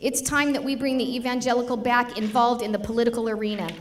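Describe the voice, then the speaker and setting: Over crowd noise and audible room echo, a woman speaks at a fairly quick pace in a high pitch. Her tone is animated, with ordinary pitch variation. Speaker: state legislator. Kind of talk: political speech. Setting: stage with audience at dinner. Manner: fast.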